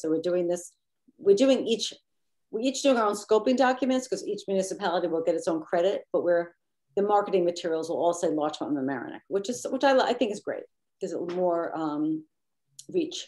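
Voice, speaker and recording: Lively intonation from a woman at medium pitch with a dark, mellow tone and a fairly quick pace. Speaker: committee member presenting program. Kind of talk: committee meeting discussion. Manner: fast.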